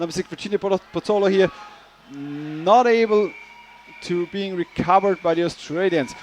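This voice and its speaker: A man with a high pitch speaks fairly quickly in an animated tone. The sound is dry and close with no echo, though background noise is noticeable. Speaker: sports commentator. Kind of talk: live commentary.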